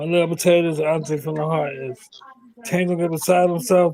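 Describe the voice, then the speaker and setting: Talking at a very fast pace, a fairly high-pitched man speaks with an American accent. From United States. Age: 50s. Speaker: former professional boxer. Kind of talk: casual chat.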